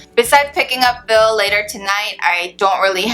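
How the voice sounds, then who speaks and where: With music playing in the background, a woman talks at a fairly quick pace. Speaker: beauty vlogger. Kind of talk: product review vlog. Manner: casual, chatty.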